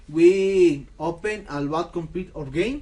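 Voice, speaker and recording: Speaking very slowly, a man has a non-native accent. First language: Spanish. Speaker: gaming tutorial creator. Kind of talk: tutorial. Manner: halting.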